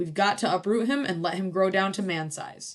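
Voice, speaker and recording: Growling, a woman performs a put-on character voice at a medium pitch. Her pitch varies in an ordinary way. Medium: read story. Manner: plain and steady.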